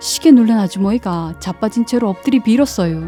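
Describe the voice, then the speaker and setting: With a Chungcheong accent, the speech moves at a moderate pace over music in the background. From Jecheon, North Chungcheong, South Korea. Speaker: non-professional voice actor, local native. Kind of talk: folk tale narration in regional dialect.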